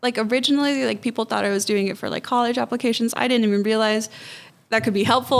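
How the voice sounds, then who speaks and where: A woman with an American accent speaks in a fairly high voice. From US, Mexican and Honduran parents. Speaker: nonprofit executive director. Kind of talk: podcast interview. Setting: studio podcast streamed live.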